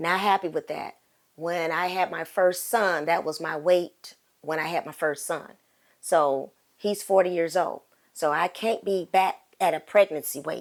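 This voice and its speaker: Speaking at a fairly slow pace, a woman uses a normal speaking voice with a fairly low pitch and ordinary pitch variation. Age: 60s. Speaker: accountability partner. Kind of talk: casual chat.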